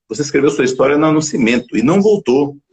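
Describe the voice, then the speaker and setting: A man's fairly high pitch with vocal fry and very wide pitch swings. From Bahia, Northeast Brazil. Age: 60s. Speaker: talk show host and physician. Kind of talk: live-streamed interview show. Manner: animated, motivational.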